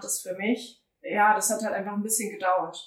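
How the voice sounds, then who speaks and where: A woman speaks at a moderate pace in a fairly high pitch, with audible room echo. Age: 20s. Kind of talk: casual interview chat.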